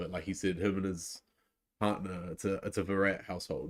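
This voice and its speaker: The speaker goes at a fairly quick pace with a New Zealand accent. The sound is dry and close, with no echo. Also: man. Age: 20s. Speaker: cricket live-stream reactor. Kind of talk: live reaction commentary and chat. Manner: casual, filler-heavy.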